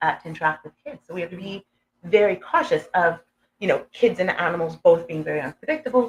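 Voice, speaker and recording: A woman speaks at a very fast pace, her voice somewhat breathy. Her loudness swings widely. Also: medium pitch for a woman. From Canada, Edmonton, Alberta. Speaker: humane education program manager. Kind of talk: interview. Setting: live stream at a conference. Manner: halting.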